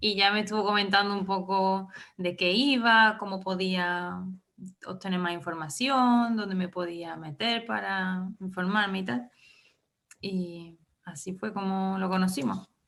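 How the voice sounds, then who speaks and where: A woman speaks in a plain, everyday voice, at a medium pitch and a fairly slow pace, with ordinary pitch variation. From Andalusia, Córdoba province. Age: 20s. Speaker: former volunteer. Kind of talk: interview.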